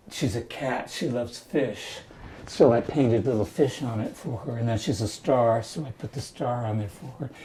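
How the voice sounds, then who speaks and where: Somewhat breathy, a man speaks at medium pitch and a moderate pace in a dark, mellow tone. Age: 80s+. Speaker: elderly painter. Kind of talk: documentary interview. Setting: at home in his apartment. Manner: halting.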